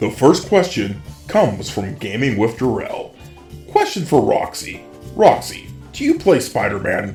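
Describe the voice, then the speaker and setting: A put-on character voice with a low-to-middle pitch is heard over clear music in the background. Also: moderate pace. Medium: machinima. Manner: warm, friendly.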